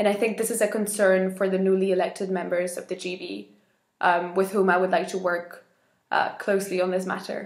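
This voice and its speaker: A woman with a Spanish accent speaks at a fairly quick pace in monotone, flat intonation. The background is quiet, though audible room echo is present. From Spain, Madrid. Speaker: election candidate in a youth organisation; election candidate. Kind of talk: campaign video statement. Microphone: webcam.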